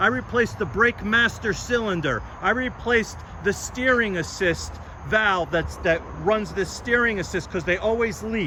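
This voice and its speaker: Amid noticeable background noise, a man speaks in a raised, projected voice at a high pitch, animated in tone, with ordinary pitch variation. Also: moderate pace. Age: 60s. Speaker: classic car dealer and mechanic. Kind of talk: sales pitch.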